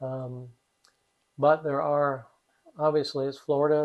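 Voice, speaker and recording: A man with a Midwestern American accent at a moderate pace, in a monotone, flat intonation. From US Midwest. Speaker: retiree resident. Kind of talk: casual chat. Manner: halting, many fillers.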